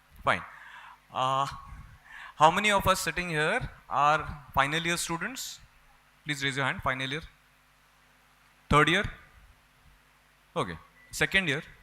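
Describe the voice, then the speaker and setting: Bright and sharp in tone, a man speaks at a fairly high pitch and moderate pace, with ordinary pitch variation and long, frequent pauses. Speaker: rheumatologist. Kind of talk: conference lecture. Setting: stage with audience.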